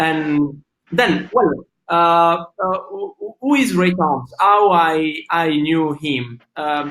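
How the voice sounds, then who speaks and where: Man with a non-native accent and a high pitch at a very slow pace, with ordinary pitch variation. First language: Italian. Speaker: interviewer. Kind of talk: interview introduction. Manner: halting, many fillers.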